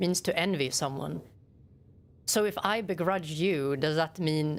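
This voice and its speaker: Delivered at a fairly slow pace with very even loudness, a woman's fairly low voice shows ordinary pitch variation. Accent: Swedish. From Sweden. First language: Swedish. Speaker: game streamer. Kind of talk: casual chat. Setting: live stream with webcam.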